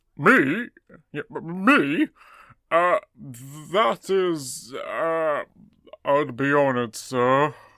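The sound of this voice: Using a put-on character voice, a man speaks very slowly with fairly high pitch and long, frequent pauses.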